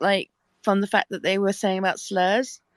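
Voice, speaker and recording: A woman with a British accent speaks at medium pitch in a dry, close sound with no echo, on a very clean recording with a silent background. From UK. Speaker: panelist. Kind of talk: panel discussion. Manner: halting.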